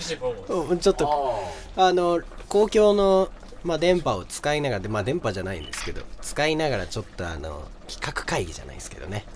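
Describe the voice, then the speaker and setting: A man's fairly quick speech rises and falls sharply in volume against noticeable background noise. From Tohoku, Japan. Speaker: radio host. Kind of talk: casual chat. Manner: animated.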